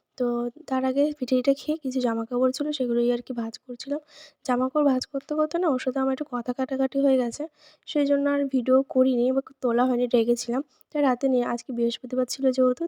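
A woman speaks at a high pitch with a dark, mellow tone and monotone, flat intonation. The sound is dry and close, with no echo. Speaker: vlogger. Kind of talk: vlog narration. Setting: at home, filmed by husband.

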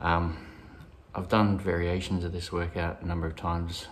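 Over light background noise, a man with a very deep, low pitch speaks at a fairly quick pace in a monotone, flat intonation. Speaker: fitness vlogger. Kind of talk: casual workout vlog wrap-up. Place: garage. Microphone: phone near.

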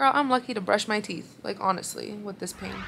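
A woman talks at a fairly quick pace in a bright, sharp tone with vocal fry. Her pitch variation is ordinary, her loudness swings widely, and there is light background noise. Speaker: new mother vlogger. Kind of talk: casual vlog chat. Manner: weary, low voice of a patient in pain. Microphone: phone near.

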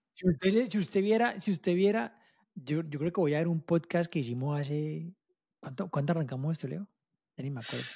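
Against a quiet background, a man talks at a fairly quick pace with a fairly high pitch, ordinary pitch variation and a dark, mellow tone. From Colombia. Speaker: ecommerce mentor; podcast co-host. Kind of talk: casual chat. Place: home room. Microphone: mic placed close to mouth; studio mic.

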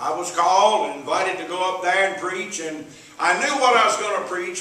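A man talks at a fairly quick pace in a raised, projected voice. His pitch is high, and the room echo is audible. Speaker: evangelist preacher. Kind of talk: sermon. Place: church. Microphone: camera far.

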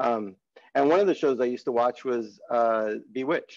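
Against a quiet background, a man in an American accent speaks at a moderate pace with a medium pitch and ordinary pitch variation. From California (Salinas); California. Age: 50s. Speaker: marketing agency director and advertising professor; advertising professor. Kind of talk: webinar presentation. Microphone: webcam.

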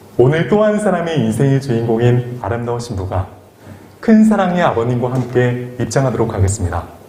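A man with a plain, everyday voice speaks at a medium pitch. His pace is fairly quick and his intonation lively. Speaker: wedding MC. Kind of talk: live wedding ceremony hosting. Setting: wedding hall PA system.

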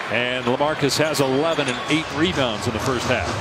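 The sound is dry with no echo, though loud background noise runs underneath. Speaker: play-by-play basketball commentator. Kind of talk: live sports commentary. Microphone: headset.

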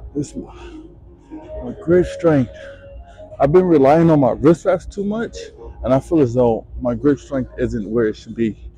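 A moderate pace with long, frequent pauses, dry sound with no echo, and faint music in the background. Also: man. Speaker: gym vlogger. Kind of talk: casual vlog chat. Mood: self-critical, motivated. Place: gym.

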